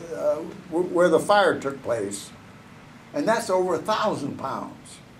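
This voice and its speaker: With noticeable background noise behind him, a man speaks at a very slow pace in a high pitch. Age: 80s+. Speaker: retired NASA engineer. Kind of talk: interview answer.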